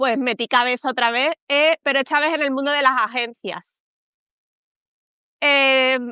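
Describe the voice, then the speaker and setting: A woman with a Spanish accent speaks at a moderate pace in a raised, projected voice, her high pitch carrying ordinary variation and a bright, sharp tone over a quiet background with a dry, close sound and no echo. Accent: Spanish (Spain). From Spain. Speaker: communications professional. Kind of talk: interview. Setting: live stream.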